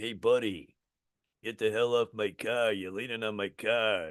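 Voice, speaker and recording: A man puts on a raspy character voice with a Brooklyn accent, speaking at a moderate pace in a medium pitch. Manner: gruff, irritated.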